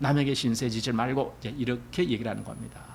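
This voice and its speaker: Vocal fry from a man at a moderate pace, with audible room echo. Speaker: pastor. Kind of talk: sermon. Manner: conversational.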